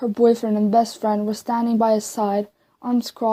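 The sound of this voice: An unforced reading voice over a quiet background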